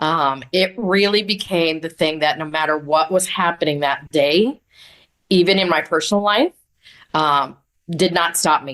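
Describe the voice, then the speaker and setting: Ordinary pitch variation and a fairly slow pace from a woman with a normal speaking voice. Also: fairly low pitch for a woman. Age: 60s. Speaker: business coach and vision expert. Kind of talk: podcast interview.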